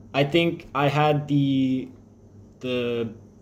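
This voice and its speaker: Audible room echo surrounds a man with an American accent who speaks with fairly even intonation. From Texas (Crosby, near Houston). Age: 20s. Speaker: air force service member vlogging about diabetes. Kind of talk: personal vlog. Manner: casual, with frequent fillers.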